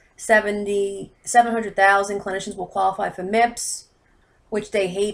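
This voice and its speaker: Intonation stays fairly even, with an American accent. There is a very clean recording and a silent background. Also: woman. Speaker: healthcare consultant. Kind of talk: informal explainer video. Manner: fast; hesitant, many fillers.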